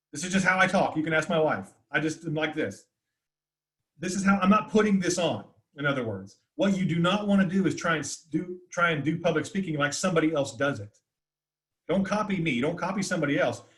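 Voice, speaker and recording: Loud and very fast, a man with an American accent speaks at a high pitch with ordinary pitch variation. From US South, north Florida. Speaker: communication teacher. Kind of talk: webinar Q&A. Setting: video call.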